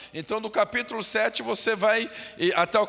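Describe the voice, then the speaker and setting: Noticeable background noise sits behind a man who speaks slowly-ish, at a fairly slow pace, with a high pitch. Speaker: pastor. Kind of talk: Bible study.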